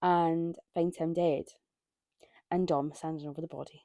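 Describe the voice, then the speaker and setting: In a Scottish accent, a woman speaks at a fairly slow pace with a fairly low pitch, the sound dry and close with no echo. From Scotland. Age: 20s. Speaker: book reviewer. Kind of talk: casual monologue. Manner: casual with many fillers.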